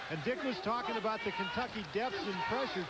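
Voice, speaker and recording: A man with a high-pitched voice talks at a fairly quick pace with ordinary pitch variation, and noticeable background noise can be heard. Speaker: sideline reporter. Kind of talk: live sideline report.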